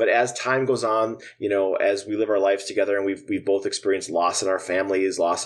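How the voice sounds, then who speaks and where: Moderate pace, in an Upper Midwest accent. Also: man. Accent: Upper Midwest American. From Minnesota, US Midwest. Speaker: musician and drummer. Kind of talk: casual interview.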